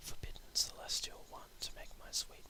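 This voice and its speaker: Whispered speech comes at a fairly slow pace against noticeable background noise. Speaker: poet. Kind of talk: poetry reading.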